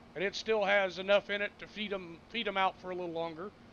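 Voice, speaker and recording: A loud, high, flat monotone from a man at a moderate pace. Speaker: gaming streamer. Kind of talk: casual live-stream commentary.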